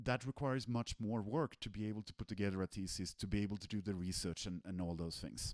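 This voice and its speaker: A man with a Swedish accent talks at a very fast pace with hardly any pauses, his pitch fairly low and ordinary in variation. The sound is dry and close, with no echo. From Sweden. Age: 40s. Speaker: software developer, technical director. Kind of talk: online presentation. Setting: live stream.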